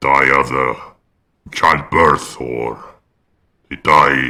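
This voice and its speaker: A man uses a put-on character voice, very deep and low in pitch. He talks very slowly. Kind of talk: roleplay character monologue. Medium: game stream. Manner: hesitant, measured, reflective.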